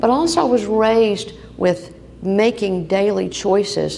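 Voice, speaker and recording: A woman talks over noticeable background noise. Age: 70s. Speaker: breast cancer survivor speaker. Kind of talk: personal testimony speech. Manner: animated.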